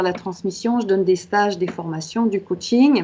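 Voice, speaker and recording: Her pitch sits in the medium range for a woman, at a moderate pace. Noticeable background noise runs underneath. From Quebec. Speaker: author and coach. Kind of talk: interview.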